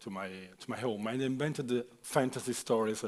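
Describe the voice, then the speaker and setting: In an Italian accent, a man talks at a medium pitch. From Italy. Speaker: author. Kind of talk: panel discussion. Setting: stage with audience. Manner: halting.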